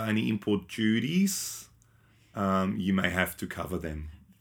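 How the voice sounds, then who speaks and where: Speaking at a fairly low pitch, this man has an Australian accent. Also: very clean recording, silent background. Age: 40s. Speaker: podcast host. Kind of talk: casual chat. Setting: live stream.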